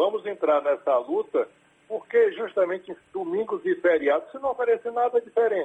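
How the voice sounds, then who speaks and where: At a moderate pace, a man's extremely high voice swings very widely in pitch. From Salvador, Bahia, Brazil. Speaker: state legislator and radio broadcaster. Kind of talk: radio interview.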